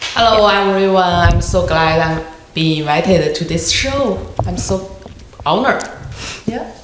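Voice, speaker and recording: With noticeable background noise and audible room echo, a woman speaks in a Chinese accent with ordinary pitch variation. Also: medium pitch for a woman, fairly slow pace. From China. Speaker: tutoring business owner, former scientist. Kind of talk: interview. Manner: halting.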